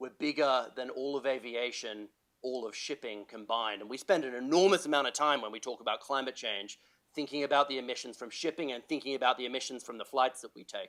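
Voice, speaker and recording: Speaking very fast with an Australian accent, a man keeps a medium pitch with ordinary variation. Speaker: health sector climate policy expert, panellist. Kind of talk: panel talk. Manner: animated.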